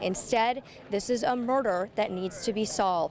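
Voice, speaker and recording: A woman with a plain, everyday voice speaks in an American accent at a moderate pace. Her pitch is fairly high, with ordinary variation. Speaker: television news reporter. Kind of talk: broadcast news reporting, live standup. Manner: serious, measured.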